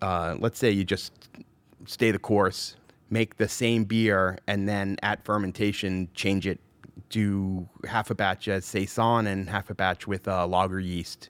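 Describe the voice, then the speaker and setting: An unremarkable speaking voice from a man, fairly low and fairly even in intonation, fairly slow, with a dry, close sound, no echo and a silent background on a very clean recording. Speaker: brewer. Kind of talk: casual interview. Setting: studio.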